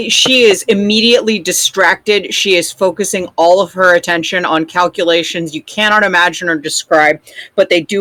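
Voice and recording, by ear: Someone is reading aloud in a natural voice and using ordinary pitch variation.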